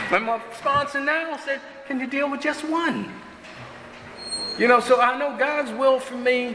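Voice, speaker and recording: Over noticeable background noise, a man with an extremely high pitch uses a raised, projected voice. He speaks at a fairly slow pace with long, frequent pauses. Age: 70s. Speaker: speaker at a recovery meeting. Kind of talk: testimony. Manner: casual, conversational.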